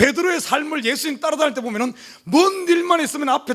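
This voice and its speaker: The delivery is very fast, with lively intonation. Noticeable background noise runs underneath. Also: man. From South Korea, Jeolla region (Gwangju). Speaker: pastor. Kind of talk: sermon. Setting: church. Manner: animated.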